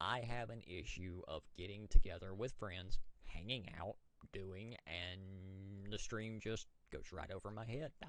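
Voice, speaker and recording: A man's fairly low voice with an American accent, fairly even intonation, big swings in loudness and a fairly slow pace. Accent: Southern US accent, others remark on it. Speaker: gamer and streamer. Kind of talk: casual monologue. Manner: halting, repeats words.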